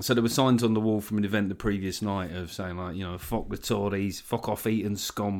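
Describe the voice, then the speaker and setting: A fairly low-pitched man with a South London accent, on a very clean recording with a silent background. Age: 40s. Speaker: comedian. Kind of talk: casual chat. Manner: animated.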